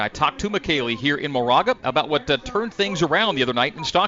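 A man talks at a very fast speed with ordinary pitch variation, noticeable background noise behind him. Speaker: play-by-play sports announcer. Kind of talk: radio play-by-play sports broadcast. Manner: polished, upbeat and energetic, with quick stats.

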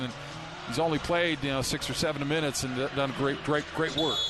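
Against noticeable background noise, a man talks at a moderate pace in a fairly high voice. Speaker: color analyst. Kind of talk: live sports commentary, analysis. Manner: conversational, relaxed, explanatory.

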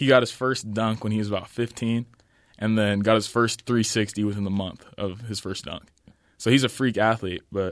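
Fairly quick speech from a man with an American accent, a normal speaking voice and a medium pitch, over a quiet background. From Utah. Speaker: college basketball player. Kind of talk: interview.

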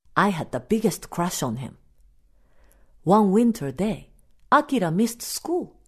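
At a fairly slow pace with long, frequent pauses, a woman with a Japanese accent speaks at a medium pitch, using vocal fry and very wide pitch swings. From Japan (Osaka). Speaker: storyteller. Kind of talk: storytelling.

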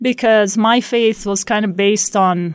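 A woman speaks at a medium pitch. The recording is very clean, and the background is silent. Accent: Arabic. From Palestine, West Bank (Beit Sahour near Bethlehem). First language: Arabic. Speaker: math lecturer. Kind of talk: interview testimony. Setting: radio studio.

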